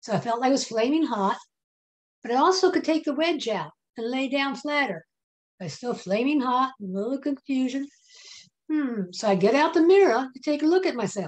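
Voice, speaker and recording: With an American accent, a woman talks at a fairly quick pace in a high-pitched voice with lively intonation and long, frequent pauses. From US South. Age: 70s. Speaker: nurse and natural health worker. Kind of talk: interview testimony. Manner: halting.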